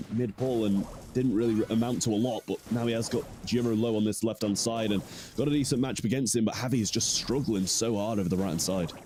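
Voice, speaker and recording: A man with a British accent at a very fast pace and medium pitch, his loudness very even, with noticeable background noise. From Britain. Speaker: esports caster. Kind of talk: live commentary. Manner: animated.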